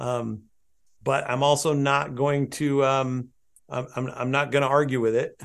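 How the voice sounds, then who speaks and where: Against a quiet background, the speaker talks fairly slowly with a West Coast US accent and a monotone, flat intonation. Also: man, medium pitch for a man. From southern Oregon, US. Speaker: landscape photographer and photo educator. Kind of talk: interview conversation.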